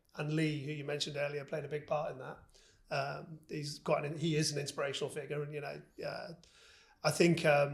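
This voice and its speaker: A man at a fairly quick pace, somewhat breathy, with monotone, flat intonation. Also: fairly high pitch for a man. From northern England, Liverpool. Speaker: business executive. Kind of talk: interview. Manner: hesitant, repeats words.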